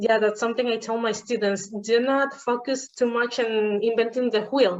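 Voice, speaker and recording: In a Spanish accent, a woman speaks at a moderate pace and a fairly high pitch, her intonation fairly even. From Venezuela. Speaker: podcast host, engineering teacher. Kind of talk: casual interview chat.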